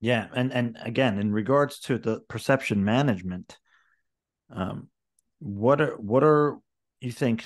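The man keeps a moderate pace, and the background stays quiet. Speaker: podcast host. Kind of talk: interview conversation. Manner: halting, many filler words. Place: home room. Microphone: video call.

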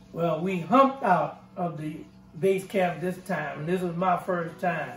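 With a New Orleans accent, a man speaks in a high pitch. Faint music plays in the background, and there is audible room echo. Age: 70s. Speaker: war veteran. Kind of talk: oral history interview answer. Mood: calm, reflective. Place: home room.

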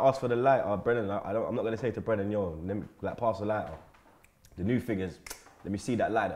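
Talking at a very fast pace, a man uses an animated tone and ordinary pitch variation. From London. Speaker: football fan pundit. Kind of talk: casual banter. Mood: joking, animated storytelling. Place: studio.

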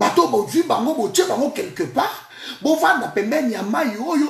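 A man's extremely high pitch and fairly bright tone, vocal fry, big pitch swings and a moderate pace

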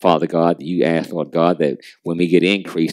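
A man with a very deep, low voice and vocal fry is heard in a dry, close sound with no echo. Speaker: prayer leader. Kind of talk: fervent prayer. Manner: fervent, rhythmic, repetitive cadence.

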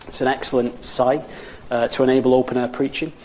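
The speaker has a Lancashire accent. Noticeable background noise is present. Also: man. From Wigan, Lancashire, northern England. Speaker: evangelist preacher. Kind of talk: recorded sermon. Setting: pre-recorded video.

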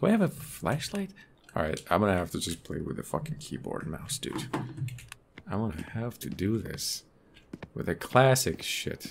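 A man speaks at a moderate pace with long, frequent pauses against noticeable background noise. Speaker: gaming streamer. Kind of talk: casual gameplay commentary.

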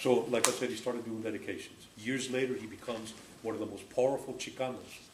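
A man's very fast speech with fairly even intonation over noticeable background noise. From Mexico, raised in California. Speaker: community radio founder and host. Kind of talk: storytelling speech to a live audience. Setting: live event with audience. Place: home room. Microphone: camera far.

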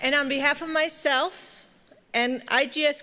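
A bright, sharp tone in a raised, projected voice. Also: woman, quiet background. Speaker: professor. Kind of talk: formal welcome speech. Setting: stage with audience. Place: hall. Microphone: podium.

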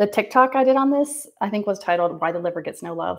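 A woman talking at a very fast pace against a quiet background. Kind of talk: casual livestream monologue. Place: bathroom. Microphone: phone near.

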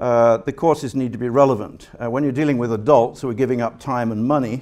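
A man at a fairly quick pace, fairly even intonation, against a quiet background. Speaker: guest lecturer. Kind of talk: lecture. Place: hall. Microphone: podium.

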